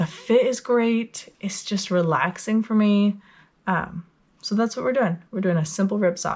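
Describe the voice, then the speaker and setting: A somewhat breathy woman's voice comes through on a very clean recording with a silent background. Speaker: knitting podcaster. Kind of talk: casual talk to camera.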